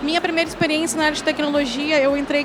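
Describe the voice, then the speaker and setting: Amid noticeable background noise and audible room echo, a woman speaks at a high pitch. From Rio Grande do Sul, Brazil (countryside). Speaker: tech executive and founder of women-in-tech platform. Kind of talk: panel talk. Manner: hesitant, many fillers.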